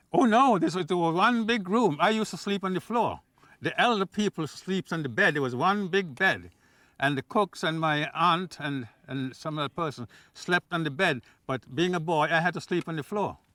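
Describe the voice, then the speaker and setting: Speaking at a moderate pace with a Nevisian accent, a man uses a high pitch, lively intonation and a bright, sharp tone in a very clean recording with a silent background and a dry, close sound with no echo. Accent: Caribbean (Nevisian) English. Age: 80s+. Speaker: elderly local eyewitness. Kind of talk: casual interview.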